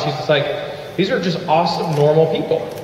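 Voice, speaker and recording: A man talks at a moderate pace in a high pitch. Audible room echo and light background noise are present. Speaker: network marketing leader. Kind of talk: motivational talk. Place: hall.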